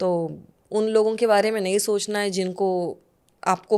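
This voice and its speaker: With fairly even intonation, the woman keeps her voice at a medium pitch. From Pune, Maharashtra, India. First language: Marathi (speaking Hindi). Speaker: actress. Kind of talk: podcast interview. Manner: Hindi-English code-switching.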